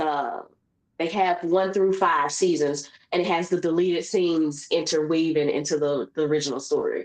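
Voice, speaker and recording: This woman speaks with a fairly low pitch at a moderate pace. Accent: Southern. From US South, Memphis. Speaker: podcast host. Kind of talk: casual chat. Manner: animated.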